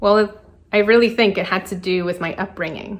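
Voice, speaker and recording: A woman with a Spanish accent talks at a moderate pace in a medium pitch. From Colombia, then South Florida from age eight. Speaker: designer and entrepreneur. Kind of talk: prepared personal talk.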